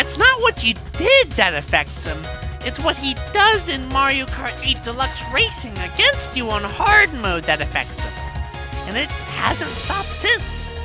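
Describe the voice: A woman's put-on character voice, high-pitched with very wide pitch swings, at a fairly slow pace over clear background music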